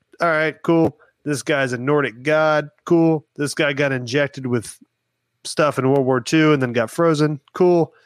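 A man with an ordinary speaking voice talks at a fairly slow pace in a fairly high pitch, with fairly even intonation and very even loudness, in a very clean recording with a silent background and dry, close sound with no echo. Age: 30s. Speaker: podcast guest. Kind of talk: casual chat.

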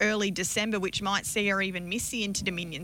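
In an Australian accent, a woman talks at a very fast pace with a bright, sharp tone and medium pitch. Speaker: harness racing analyst. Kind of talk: radio interview. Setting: radio studio.

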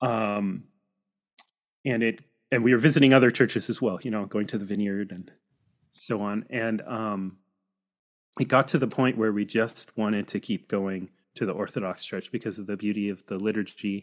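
A man with a Pacific Northwest accent speaks at a moderate pace in a fairly low pitch, with fairly even intonation and long, frequent pauses, on a very clean recording with a silent background. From US Pacific Northwest, Seattle suburbs. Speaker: birding guide and church historian. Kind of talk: casual interview. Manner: halting, many fillers.

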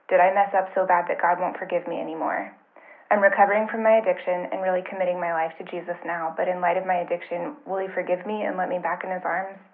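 Over noticeable background noise, a woman talks at a very fast pace. Her pitch is medium and her intonation monotone and flat. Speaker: listener with a question. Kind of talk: recorded voicemail question. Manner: anxious.

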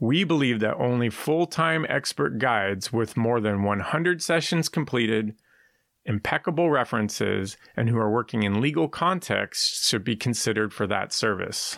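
Over a very clean recording with a silent background, a man with an American accent talks at a moderate pace and medium pitch, his intonation lively and his loudness very even. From San Francisco, California. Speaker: executive coach. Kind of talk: scripted narration.

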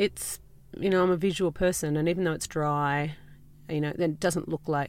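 A woman's very deep, low voice at a moderate pace with fairly even intonation, on a very clean recording with a silent background. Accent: Australian. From rural New South Wales, Australia. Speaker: candle maker and small business owner. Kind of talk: casual interview. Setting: inside a parked farm ute. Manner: relaxed, with frequent fillers.

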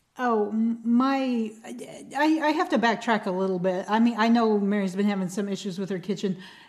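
An unremarkable speaking voice from a woman, fairly high in pitch, with ordinary pitch variation and hardly any pauses. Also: moderate pace. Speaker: comedian and author. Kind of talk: casual chat.

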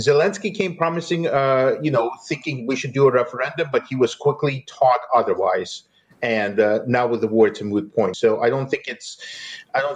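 Speech comes at a fairly quick pace. There is some breathiness in the voice. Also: man. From Eastern Ukraine. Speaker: journalist. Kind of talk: interview. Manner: halting, with fillers and repetitions.

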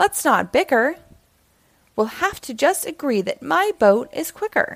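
Big pitch swings and vocal fry in a woman's high-pitched, put-on character voice. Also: fairly slow pace.

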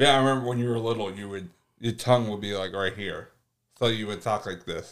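On a very clean recording with a silent background, a man with an unremarkable speaking voice talks at a fairly quick pace and medium pitch, his intonation fairly even but his loudness swinging widely. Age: 30s. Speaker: podcast co-host, host's cousin. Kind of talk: casual chat.

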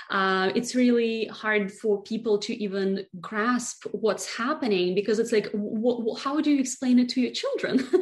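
The speaker has a Russian accent and a moderate pace, with hardly any pauses. Noticeable background noise is audible. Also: woman, fairly high pitch for a woman. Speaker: beauty brand founder. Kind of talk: interview.

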